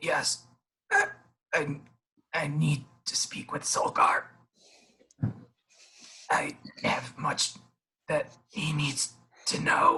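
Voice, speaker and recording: A put-on character voice, raspy, hoarse and croaky, moves at a very slow pace with long, frequent pauses. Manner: weak.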